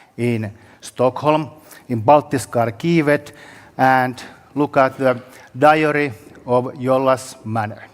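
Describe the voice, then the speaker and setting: This man speaks with a Finnish accent. His pace is fairly slow and his intonation fairly even. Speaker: historian. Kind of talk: conference presentation. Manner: halting.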